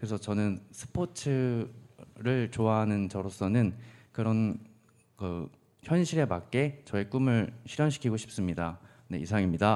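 The voice has a dark, mellow tone and lively intonation at a very slow pace. The recording is very clean and the background silent. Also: man, fairly low pitch for a man. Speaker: university student, mock interviewee. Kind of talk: mock job interview. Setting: studio. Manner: lacking confidence.

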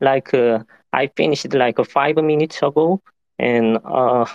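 A man with a Korean accent and a medium pitch speaks with ordinary pitch variation and very even loudness, in a dry, close sound with no echo. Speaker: software engineer. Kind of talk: casual chat. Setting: online audio room. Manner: halting.

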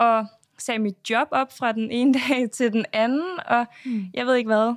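The speaker talks at a fairly slow pace with ordinary pitch variation. The recording is very clean and silent behind the voice, with a dry, close sound and no echo. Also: woman. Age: 20s. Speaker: reality TV contestant and influencer. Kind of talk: interview.

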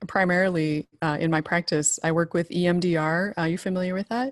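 A woman with an American accent talks at a fairly quick pace in an unremarkable speaking voice, medium in pitch with ordinary pitch variation, in a dry, close recording with no echo. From US, rural Idaho. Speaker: marriage and family therapist, former journalist. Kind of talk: casual interview.

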